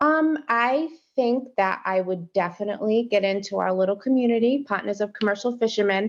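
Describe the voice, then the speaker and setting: A woman with a plain, everyday voice speaks at a fairly high pitch and a fairly quick pace, with hardly any pauses. Her pitch varies in an ordinary way, her loudness is very even, and the background is quiet. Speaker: fisherman's partner and mother. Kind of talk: podcast interview.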